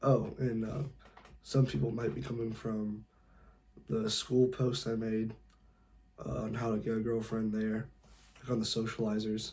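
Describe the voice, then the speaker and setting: Pausing long and often, a man with an American accent and a dark, mellow tone speaks at a moderate pace and medium pitch with fairly even intonation. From California. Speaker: dating advice youtuber. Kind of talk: tutorial. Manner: casual, lots of filler words.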